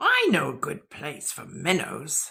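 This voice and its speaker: A woman performs in a put-on character voice. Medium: read story. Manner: polite, proper.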